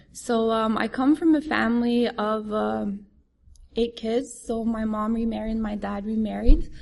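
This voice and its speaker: Her voice comes across somewhat breathy. The woman's intonation stays fairly even. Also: fairly high pitch for a woman, fairly slow pace. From France. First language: French. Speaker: recovering addict sharing story. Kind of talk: testimony. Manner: halting.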